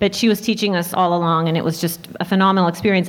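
With an American accent, a woman speaks at a very fast pace amid audible room echo. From US Pacific Northwest, Portland, Oregon. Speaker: film and TV composer. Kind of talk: panel talk at a luncheon. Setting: jazz club stage with audience.

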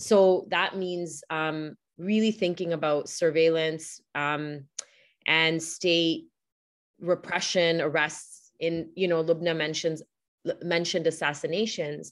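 The intonation is fairly even. The pace is very slow. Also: woman, fairly low pitch for a woman. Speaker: professor. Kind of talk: academic panel presentation. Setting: video call.

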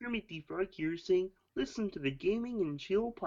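Putting on a character voice, this man pitches it high and keeps a moderate pace. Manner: comic imitation.

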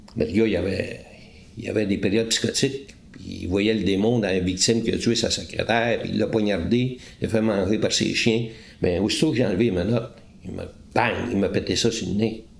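A man at a fairly quick pace, fairly low in pitch, with fairly even intonation and audible room echo. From Quebec, Eastern Townships. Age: 60s. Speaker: retired police interrogator. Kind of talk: interview. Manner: halting.

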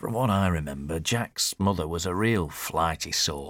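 In a put-on character voice, a man with a low pitch and a fairly bright tone speaks at a fairly slow pace with lively intonation, in a very clean recording with a silent background.

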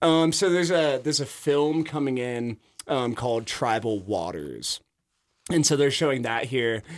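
A man with an American accent speaks in a plain, everyday voice at a moderate pace. His pitch is medium and his intonation lively. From Idaho. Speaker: kayak club director. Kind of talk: casual radio interview. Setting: radio studio.

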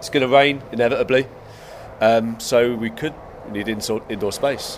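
A man speaks at a fairly quick pace and medium pitch, with ordinary pitch variation. His loudness swings widely, and there is noticeable background noise. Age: 40s. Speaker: skate park co-director. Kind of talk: casual interview chat.

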